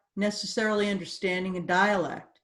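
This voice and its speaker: This woman speaks at a medium pitch with an American accent. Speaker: course designer and trainer. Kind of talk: interview.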